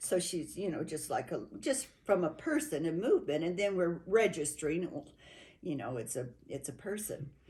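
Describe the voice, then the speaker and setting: A woman's voice is somewhat breathy with a dark, mellow tone. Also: fairly low pitch for a woman, moderate pace. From New Mexico. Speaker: interviewee. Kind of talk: oral history interview. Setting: at a home. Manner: halting.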